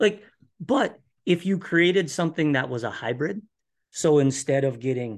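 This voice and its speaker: The background is quiet as a man speaks with lively intonation. His accent is Upper Midwest. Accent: Upper Midwest (Minnesota). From Minnesota. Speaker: guest, hobby farmer and viewer. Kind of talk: casual interview chat.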